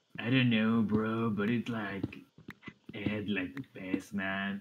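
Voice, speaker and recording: Using a put-on character voice, a man talks at a fairly slow pace with a fairly low pitch. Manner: laid-back, drawn-out surfer slang delivery.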